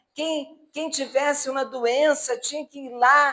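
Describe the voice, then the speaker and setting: A woman projects a raised, high-pitched voice very slowly, her intonation fairly even. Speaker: spiritist lecturer. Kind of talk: religious lecture. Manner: halting.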